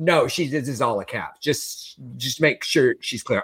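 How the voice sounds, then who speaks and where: The voice is raised and projected, with a bright, sharp tone and very wide swings in pitch. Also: man. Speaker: podcast host. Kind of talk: casual chat. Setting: Los Angeles. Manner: animated.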